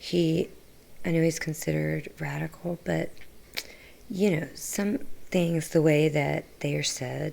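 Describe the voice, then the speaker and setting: A soft-spoken woman at a fairly slow pace. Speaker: political livestreamer. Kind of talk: livestream monologue answering chat.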